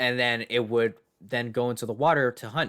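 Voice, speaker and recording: A man speaks at a moderate pace. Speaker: podcast co-host. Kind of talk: casual chat. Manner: animated.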